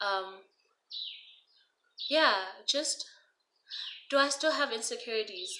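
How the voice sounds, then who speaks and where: Her pitch is high and swings very widely, with a bright, sharp tone. The woman uses a raised, projected voice at a fairly slow pace, with long, frequent pauses. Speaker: YouTuber. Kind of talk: storytime vlog.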